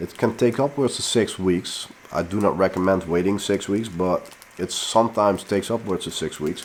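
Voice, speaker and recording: Fairly low-pitched speech from a man with a Dutch accent, at a moderate pace with ordinary pitch variation. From Netherlands. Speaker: pepper grower and fertilizer maker. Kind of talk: tutorial. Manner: casual, with frequent fillers.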